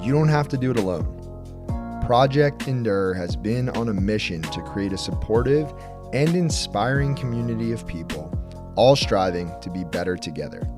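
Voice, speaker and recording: Over music in the background, a man speaks at a moderate pace with a fairly low pitch and very wide pitch swings. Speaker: podcast host. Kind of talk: podcast intro.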